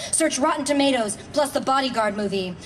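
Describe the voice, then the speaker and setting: A high-pitched woman's voice at a moderate pace, ordinary pitch variation, light background noise. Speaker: poet and actress. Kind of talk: poetry reading. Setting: outdoors. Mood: calm, measured, list-like cadence. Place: stage. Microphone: podium.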